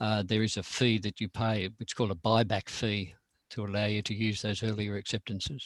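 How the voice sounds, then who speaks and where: Fairly quick and flat, a man with an Australian accent speaks in a fairly low, monotone voice, the sound dry and close with no echo. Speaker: nature photographer and club speaker. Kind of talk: presentation to a camera club. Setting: video call. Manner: hesitant, many fillers.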